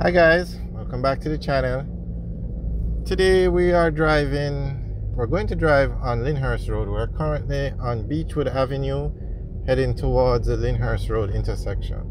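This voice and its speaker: At a moderate pace, a man speaks in a dry sound with no echo, with noticeable background noise behind him. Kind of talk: casual vlog commentary. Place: car. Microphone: phone near.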